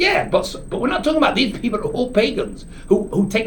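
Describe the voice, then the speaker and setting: A man's animated, very fast delivery with very wide pitch swings, audible room echo and noticeable background noise. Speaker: rabbi teaching a Torah class. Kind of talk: lecture. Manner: dynamic, animated; halting, frequent restarts.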